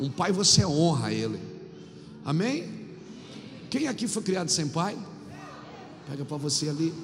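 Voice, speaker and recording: At a moderate pace with long, frequent pauses, the speech comes through noticeable background noise and audible room echo. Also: man, fairly high pitch for a man, ordinary pitch variation. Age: 50s. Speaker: pastor. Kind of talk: sermon. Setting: church.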